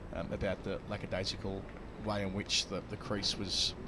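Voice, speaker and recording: A man speaks with an Australian accent. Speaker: cricket commentator. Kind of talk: live commentary. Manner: halting.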